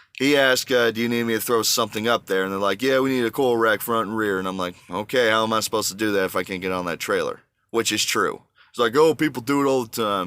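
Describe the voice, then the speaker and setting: Speaking at a very fast pace with an American accent, a man has a medium pitch, ordinary pitch variation and a bright, sharp tone. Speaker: truck driver vlogger. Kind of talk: casual vlog monologue. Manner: animated, ranting.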